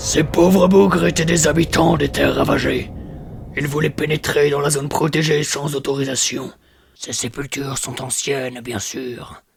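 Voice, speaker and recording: Putting on a cartoonish character voice, a man sounds raspy and fairly high-pitched, speaking at a moderate pace with ordinary pitch variation. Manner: formal, measured, authoritative.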